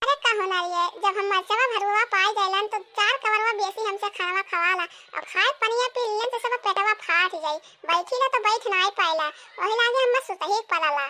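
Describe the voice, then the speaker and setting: Squeaky and cartoonish, a character voice runs at a moderate pace with ordinary pitch variation. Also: woman, extremely high pitch for a woman. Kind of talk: village comedy cartoon. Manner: gossipy, self-justifying.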